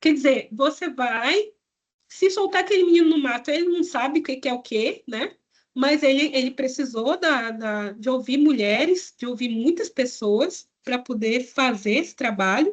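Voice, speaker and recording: Here a woman speaks with a high pitch and lively intonation. Her pace is fairly slow. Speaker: public health researcher. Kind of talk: lecture. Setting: online presentation.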